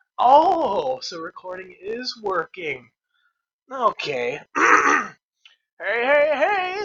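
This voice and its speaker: In a raised, projected voice, a man speaks at a very slow pace and an extremely high pitch, with very wide pitch swings and long, frequent pauses. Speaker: animator. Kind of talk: casual reaction commentary. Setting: headset microphone, poor quality.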